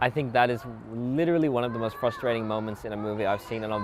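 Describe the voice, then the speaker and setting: With an Australian accent, a man at a medium pitch talks very fast with lively intonation. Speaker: YouTuber, movie commentator. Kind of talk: casual movie commentary to camera. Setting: outdoors.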